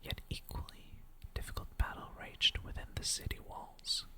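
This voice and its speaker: Calm and whispering, a woman speaks at a fairly slow pace. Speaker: ASMR creator. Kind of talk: lore reading, storytelling. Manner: slow, calm, whispered.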